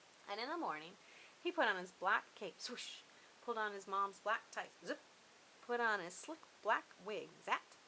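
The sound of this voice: An unforced reading voice carries lively intonation.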